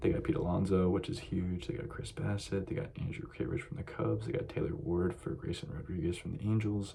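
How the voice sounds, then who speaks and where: A man with a fairly low pitch speaks quietly at a fairly quick pace, with audible room echo and noticeable background noise. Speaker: sports YouTuber. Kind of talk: casual monologue. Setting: library.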